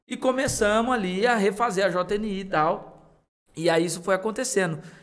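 A man's high voice with fairly even intonation. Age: 30s. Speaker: youth pastor. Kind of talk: casual chat.

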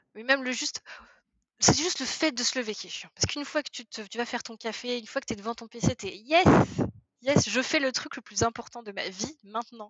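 This woman has a high-pitched voice. She talks at a fairly quick pace. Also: ordinary pitch variation, big swings in loudness. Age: 30s. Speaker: novelist. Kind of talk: casual chat.

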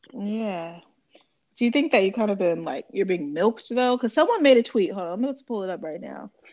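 With an American accent, a woman speaks at a fairly quick pace in an unremarkable speaking voice, fairly high in pitch and with big swings in loudness. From California. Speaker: podcast host, music interviewer. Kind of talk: casual interview.

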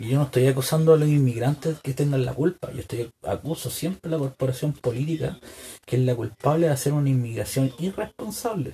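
The voice moves at a fairly quick pace with a dark, mellow, somewhat breathy tone and ordinary pitch variation. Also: man, fairly high pitch for a man. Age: 30s. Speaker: political podcaster. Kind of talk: political commentary monologue. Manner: halting, frequent repetitions.

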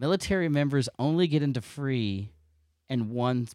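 A man with an unremarkable speaking voice and medium pitch talks at a moderate pace with lively intonation. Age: 40s. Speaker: podcaster and military member. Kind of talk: casual chat.

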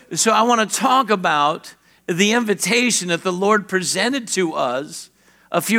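A man with a high pitch for a man uses a raised, projected voice with a bright, sharp tone and lively intonation, speaking at a fairly slow pace on a very clean recording with a silent background. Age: 50s. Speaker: pastor. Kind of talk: sermon.

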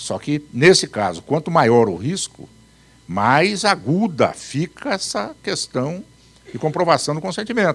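At a fairly slow pace, a man talks with vocal fry. His pitch is fairly high and swings very widely. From Paraná, Brazil. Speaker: law professor and retired judge. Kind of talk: live talk to an audience. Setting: live event with audience.

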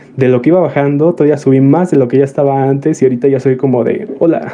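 A man at medium pitch with a Mexican accent, at a fairly quick pace. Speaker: streamer. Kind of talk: casual chat. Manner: usually quiet, reserved talker.

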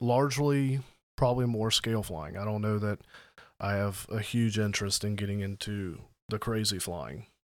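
The speaker has a Southern US accent, a moderate pace and ordinary pitch variation, on a very clean recording with a silent background. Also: man, fairly low pitch for a man. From US South, South Carolina. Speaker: RC hobby podcast co-host. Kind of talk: casual chat.

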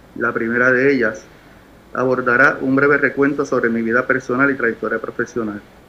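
A man speaks at a moderate pace. His pitch is medium and his intonation is monotone and flat. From Puerto Rico, San Juan. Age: 50s. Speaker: nominee at senate hearing. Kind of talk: formal testimony. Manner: formal.

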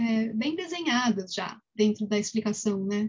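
A woman at a fairly slow pace. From Brazil. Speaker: Buddhist teacher. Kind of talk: interview about personal spiritual journey.

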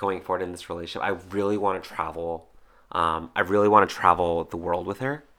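On a very clean recording with a silent background, a man with an American accent talks at a fairly quick pace in a very deep, low pitch with a bright, sharp tone and ordinary pitch variation. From New Jersey. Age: 20s. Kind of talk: casual chat.

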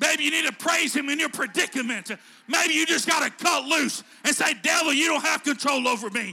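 A man's extremely high voice, bright and sharp in tone, with vocal fry, ordinary pitch variation and a moderate pace

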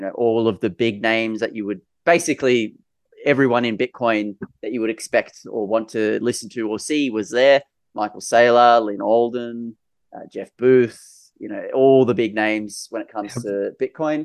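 A man's medium-pitched voice with an Australian accent, moderate pace, fairly even intonation, and a dry, close sound with no echo. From Australia, Sydney. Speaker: bitcoin conference organiser. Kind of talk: casual interview chat. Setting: video call.

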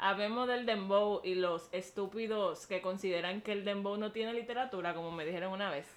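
Using an unremarkable speaking voice, a woman talks at a fairly quick pace with medium pitch and fairly even intonation. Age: 20s. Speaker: podcast co-host. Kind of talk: casual chat.

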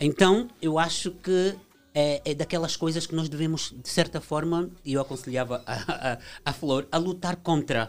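Speaking in an Angolan accent at a fairly slow pace, a man with a fairly high pitch shows ordinary pitch variation. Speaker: debate guest. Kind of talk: heated debate. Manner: halting.

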